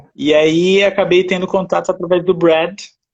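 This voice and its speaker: The speaker is a man. His pace is fairly slow. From France. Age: 50s. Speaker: essential oils user, interview guest. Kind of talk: casual interview chat. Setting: online live stream. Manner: halting, repeats words.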